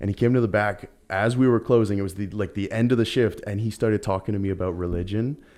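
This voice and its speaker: A man with a western Canadian accent talks very fast at a medium pitch in a dark, mellow tone. The background is quiet. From Surrey, British Columbia, Canada. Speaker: podcast guest, outdoorsman. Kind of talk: casual chat.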